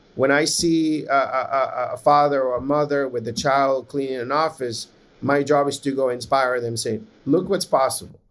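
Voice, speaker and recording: A man talks in a Spanish accent. His intonation stays fairly even. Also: moderate pace. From Nicaragua. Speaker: podcast host and tech founder. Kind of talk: casual interview. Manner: halting, repeats words.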